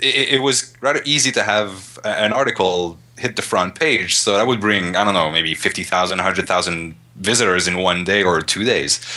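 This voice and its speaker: A man with a Montreal accent speaks fairly quickly at a fairly low pitch. His tone is bright and sharp, his loudness very even. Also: ordinary pitch variation. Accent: Canadian English (Montreal). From Montreal, Canada. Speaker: web designer. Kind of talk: interview answer.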